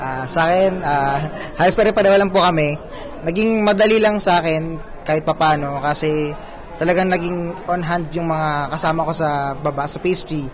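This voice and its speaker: Amid noticeable background noise and audible room echo, a man with a high pitch talks at a moderate pace with ordinary pitch variation. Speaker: pastry chef. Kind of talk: interview.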